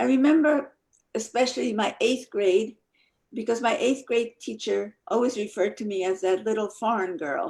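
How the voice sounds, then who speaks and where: A woman with a Polish accent, a fairly high pitch, vocal fry and lively intonation, at a moderate pace. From Poland, Krakow area; moved to New Jersey at 11. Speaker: Holocaust survivor, speaker. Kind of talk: testimony.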